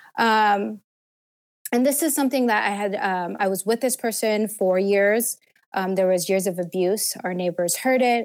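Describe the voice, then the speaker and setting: A woman speaks at medium pitch with ordinary pitch variation and very even loudness. Her pace is moderate, and she has an unremarkable speaking voice. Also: very clean recording, silent background. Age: 30s. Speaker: abuse survivor. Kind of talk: testimony.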